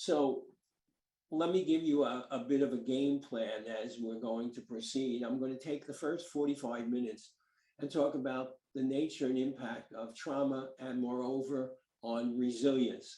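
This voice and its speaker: At a moderate pace, a man with a medium pitch and a dark, mellow tone speaks with fairly even intonation. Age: 80s+. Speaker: psychologist presenting research on resilience. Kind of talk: lecture. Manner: halting, many fillers.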